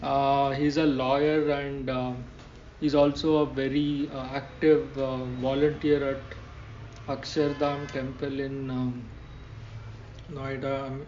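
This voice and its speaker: A man's very slow, monotone, flat speech at a fairly high pitch, with long, frequent pauses and audible room echo. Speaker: podcast host. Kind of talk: podcast interview intro. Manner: halting.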